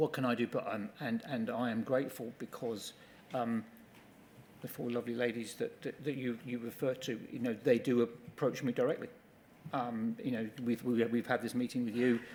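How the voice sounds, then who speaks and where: A man of medium pitch in a flat monotone. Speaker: company executive giving evidence. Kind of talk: witness testimony at public inquiry. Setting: public inquiry hearing room. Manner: fast; halting, many repetitions.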